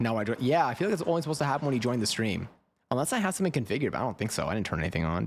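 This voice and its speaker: Talking at a very fast pace with an American accent, a man shows very wide pitch swings and vocal fry. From New York. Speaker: streamer. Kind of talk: casual chat. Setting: live stream. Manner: halting.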